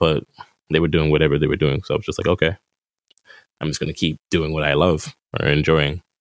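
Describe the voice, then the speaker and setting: A man with a very deep, low pitch talks at a very fast pace, in a monotone, flat delivery. There are long, frequent pauses, and the sound is dry and close with no echo. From Boston, Massachusetts (Hyde Park). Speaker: musician and barista. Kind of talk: casual interview chat. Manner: laid-back.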